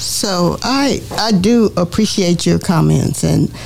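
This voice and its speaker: There is noticeable background noise in this clip. A woman speaks with an American accent. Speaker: school board trustee and co-host. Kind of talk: call-in talk show.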